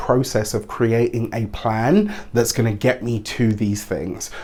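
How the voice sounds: A man at medium pitch, moderate pace, fairly even intonation and a slightly mellow tone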